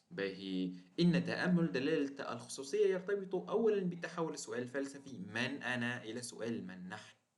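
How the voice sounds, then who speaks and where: A man with lively intonation at a fairly slow pace, with audible room echo. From Tunisia. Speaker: teacher. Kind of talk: lecture. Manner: halting, with fillers and repeated words.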